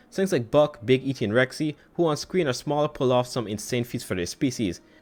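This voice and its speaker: Against a quiet background, a man of medium pitch talks at a very fast pace with a Caribbean accent. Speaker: YouTuber, dinosaur content creator. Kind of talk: reaction commentary rebuttal. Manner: soothing.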